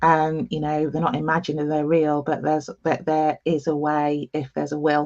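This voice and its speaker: Fairly even intonation at a moderate pace, with a slight East Midlands accent and a dry, close sound with no echo. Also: woman, very deep, low pitch for a woman. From England, East Midlands. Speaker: nurse and diversity consultant. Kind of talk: interview. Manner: halting with many fillers.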